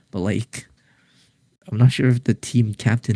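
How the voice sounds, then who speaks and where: A man with a dark, mellow tone, medium pitch and vocal fry is captured in a dry, close sound with no echo. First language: not English. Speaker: esports tournament commentator. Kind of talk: live commentary. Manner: halting, many repeated words.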